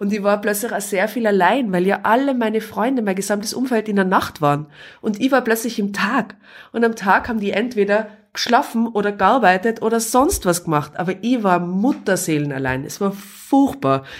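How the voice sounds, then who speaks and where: A woman with a plain, everyday voice speaks at a medium pitch, her intonation lively. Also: moderate pace. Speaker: podcast guest, mother. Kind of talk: casual interview. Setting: living room.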